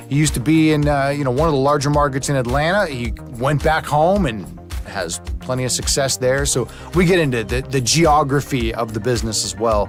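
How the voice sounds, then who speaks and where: With music in the background, a man talks at a fairly quick pace in a medium pitch with lively intonation. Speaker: podcast host. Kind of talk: casual podcast intro.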